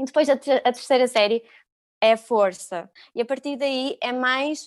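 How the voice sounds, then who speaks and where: Speaking very slowly with fairly even intonation, a woman uses a high pitch on a very clean recording with a silent background. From Algarve, Portugal. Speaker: yoga teacher. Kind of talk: casual interview.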